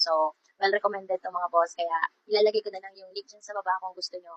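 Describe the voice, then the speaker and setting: Very fast and monotone, a woman speaks at a medium pitch with flat intonation, in a dry, close sound with no echo. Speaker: vlogger reviewing a product. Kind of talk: product review vlog.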